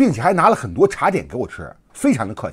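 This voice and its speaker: A man talks at an even, medium speed with a quiet background behind him. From mainland China. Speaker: online commentator. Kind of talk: casual monologue. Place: home room.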